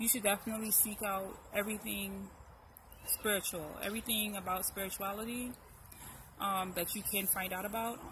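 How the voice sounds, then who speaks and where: This woman's voice sits at a medium pitch with a bright, sharp tone. Her intonation stays monotone and flat. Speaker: YouTube commentator. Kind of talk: casual chat. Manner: fast.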